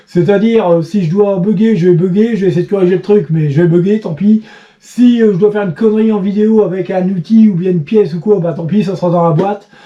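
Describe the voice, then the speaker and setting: Fairly quick, fairly even speech over noticeable background noise. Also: man, high pitch for a man. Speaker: bike repairer and YouTuber. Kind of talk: casual vlog chat. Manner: fast; halting.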